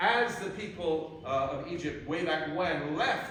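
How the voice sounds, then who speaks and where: Noticeable background noise and audible room echo fill this recording. In it, a man speaks at a fairly high pitch. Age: 60s. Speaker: preacher. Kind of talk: sermon. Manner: halting.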